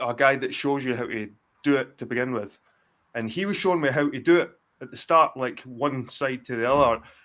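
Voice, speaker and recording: Pausing long and often, a man at a medium pitch shows big swings in loudness on a very clean recording with a silent background. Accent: Scottish. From Scotland. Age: 40s. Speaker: guest on a live stream. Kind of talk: casual chat. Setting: live stream. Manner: animated.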